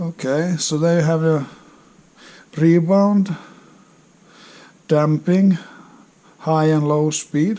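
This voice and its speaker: A man with a Finnish accent talks at a very slow pace, leaving long, frequent pauses. His pitch is fairly high and his intonation fairly even. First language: non-English. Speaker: motorcycle hobbyist. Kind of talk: casual unboxing talk to camera. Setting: crackling background noise.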